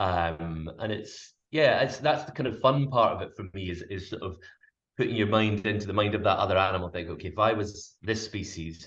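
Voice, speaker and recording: A man with a Scottish accent, fairly low in pitch, fairly quick in pace, with ordinary pitch variation and big swings in loudness. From Scotland. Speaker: wildlife cameraman and presenter. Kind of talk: interview answer.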